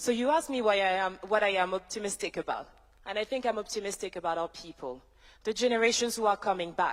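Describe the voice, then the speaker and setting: The speech runs at a very fast pace with ordinary pitch variation, on a very clean recording with a silent background. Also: woman, medium pitch for a woman. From France (Paris). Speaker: tech entrepreneur. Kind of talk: summit speech. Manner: formal.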